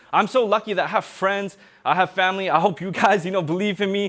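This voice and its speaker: A man speaks at a high pitch and a fairly quick pace. The recording is very clean, with a silent background. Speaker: motivational speaker. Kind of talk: public talk. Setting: stage with audience. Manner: fast; casual.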